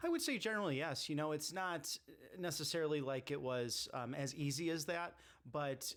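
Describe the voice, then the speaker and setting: A man talks at a moderate pace with ordinary pitch variation, in an ordinary speaking voice. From US Midwest, Chicago area. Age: 30s. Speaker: political candidate. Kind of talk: casual interview.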